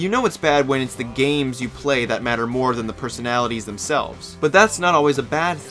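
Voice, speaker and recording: A man at a medium pitch talking at a very fast pace, with music in the background. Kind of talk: video essay narration. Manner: monotone.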